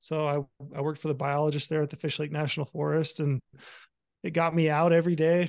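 With an American accent, a man speaks at a very fast pace in a monotone, flat intonation and a fairly high pitch, the sound dry and close with no echo and the background quiet. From southern Utah. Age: 40s. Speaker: hunting content creator. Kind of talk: casual interview chat. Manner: halting, many fillers.

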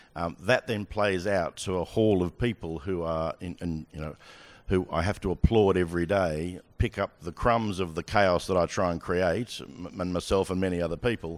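A man with an Australian accent speaks in a very deep, low voice at a moderate pace with ordinary pitch variation, on a very clean recording with a silent background. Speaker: sports broadcasting executive. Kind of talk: onstage interview. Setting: stage with audience.

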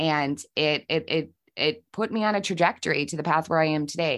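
A woman's plain, everyday voice at a moderate pace with ordinary pitch variation, over a quiet background. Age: 40s. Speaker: podcast host. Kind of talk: casual chat.

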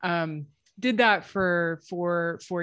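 A woman's a normal speaking voice with fairly even intonation. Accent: General American. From United States. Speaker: sleep scientist. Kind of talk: casual interview. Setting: video call.

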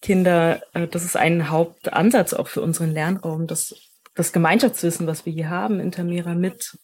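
A woman with a fairly low, somewhat breathy voice speaks at a fairly slow pace. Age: 30s. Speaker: educator. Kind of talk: interview conversation.

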